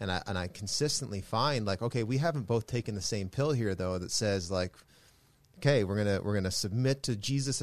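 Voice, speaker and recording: A plain, everyday voice from a man, with ordinary pitch variation and a quiet background. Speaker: podcast host, pastor. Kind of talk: interview conversation. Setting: studio.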